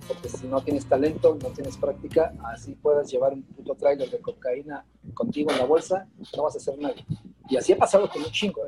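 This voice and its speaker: A man talking at a fairly quick pace with big swings in loudness and music in the background. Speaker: drummer and music teacher. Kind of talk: casual chat.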